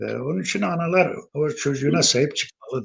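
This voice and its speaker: With vocal fry and lively intonation, a man speaks at a fairly high pitch. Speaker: Alevi spiritual elder (pir). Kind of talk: interview answer.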